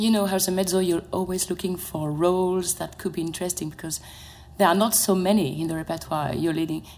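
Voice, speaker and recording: Speaking in a French accent, a woman moves at a fairly quick pace. Her fairly low pitch follows fairly even intonation. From France. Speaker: opera mezzo-soprano. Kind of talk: panel discussion. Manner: halting.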